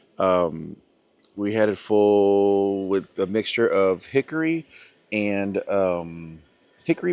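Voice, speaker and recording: A man's fairly low voice, dry and close with no echo, over a quiet background. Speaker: barbecue video creator. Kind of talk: casual vlog tutorial.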